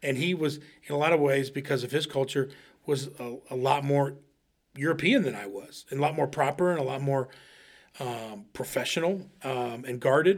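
Pitched fairly high with ordinary variation, a man talks at a moderate pace in an unremarkable speaking voice. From Ohio, US Midwest. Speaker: podcast co-host. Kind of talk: casual chat.

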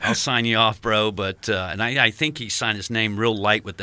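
A man talks at a fairly quick pace with an American accent. His pitch is fairly low and his intonation fairly even. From Virginia, US. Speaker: military instructor and skydiver. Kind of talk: interview. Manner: halting.

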